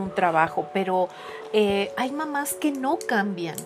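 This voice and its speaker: The speaker is a woman going at a very slow pace. Behind her, music is playing. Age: 60s. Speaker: psychologist and art therapist. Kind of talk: casual chat.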